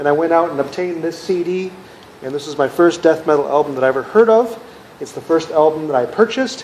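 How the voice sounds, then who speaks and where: A man with an American accent talks at a very fast pace and a fairly high pitch, with noticeable background noise behind him. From US Midwest, Minnesota. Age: 40s. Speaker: music collector, video creator. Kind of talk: personal monologue to camera.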